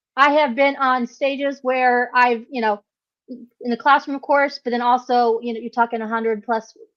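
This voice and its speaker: This woman's voice is high-pitched. Her intonation stays fairly even. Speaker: business founder and former teacher. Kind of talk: personal story sharing.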